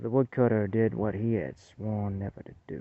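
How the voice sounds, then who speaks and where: Using a put-on character voice, a man drawls at a moderate pace with a fairly low pitch. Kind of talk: folksy spoken horror tale. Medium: read story. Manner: homespun, halting, drawling.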